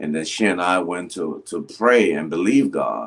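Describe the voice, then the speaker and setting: A man speaks slowly-ish with a very deep, low pitch and vocal fry. His intonation is lively. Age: 60s. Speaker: pastor. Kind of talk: casual interview chat.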